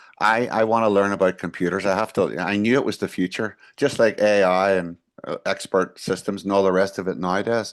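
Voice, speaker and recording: A man with a Northern Irish accent talks at a fairly low pitch with fairly even intonation. The background is quiet. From Northern Ireland (Belfast area). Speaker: management consultant and engineer. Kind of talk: interview answer.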